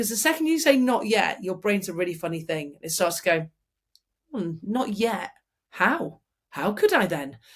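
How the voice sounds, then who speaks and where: Somewhat breathy and animated, a woman speaks at a moderate pace and a medium pitch. Her pitch swings very widely. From Manchester, England. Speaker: former RAF fighter pilot, public speaker. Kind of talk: interview answer. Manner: chatty, animated.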